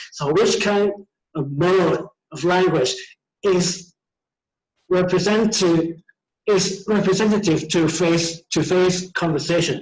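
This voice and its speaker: With music in the background, a man speaks in a high pitch at a fairly slow pace, with fairly even intonation and long, frequent pauses. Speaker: teacher. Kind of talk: lecture. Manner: halting.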